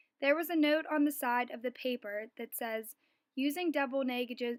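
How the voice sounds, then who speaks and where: Recorded very cleanly against a silent background, with a dry, close sound and no echo, a woman talks at a moderate pace in a high pitch with fairly even intonation. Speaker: student. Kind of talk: reading aloud. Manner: formal.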